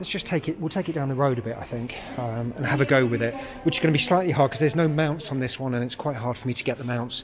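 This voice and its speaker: Noticeable background noise runs under the recording. A man talks at a very fast pace with ordinary pitch variation. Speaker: scooter reviewer. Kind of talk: casual product review walkthrough. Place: shop. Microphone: phone near.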